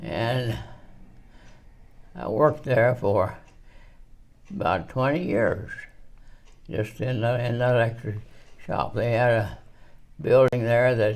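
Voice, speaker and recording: Speaking at a very slow pace with long, frequent pauses, a man uses a medium pitch and ordinary pitch variation. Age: 80s+. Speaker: retired electrician and construction company founder. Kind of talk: interview answer. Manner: halting, hesitant.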